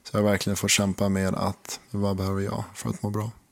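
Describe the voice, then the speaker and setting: A man with fairly low pitch talks at a fairly quick pace. His intonation is monotone and flat. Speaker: podcast co-host, partner in a couple. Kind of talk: intimate relationship conversation. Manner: calmer, less expressive than partner.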